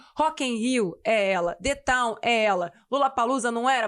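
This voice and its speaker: A woman speaks in a normal speaking voice, fairly high in pitch, with ordinary pitch variation and very even loudness. Her pace is moderate, and the recording is very clean with a silent background. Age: 30s. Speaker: interviewer, finance show host. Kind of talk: interview.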